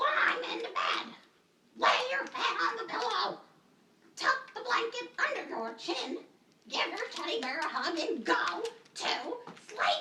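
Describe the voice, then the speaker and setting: In a cartoonish character voice at an extremely high pitch, the speaker goes at a fairly slow pace with very wide pitch swings and long, frequent pauses. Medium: puppet.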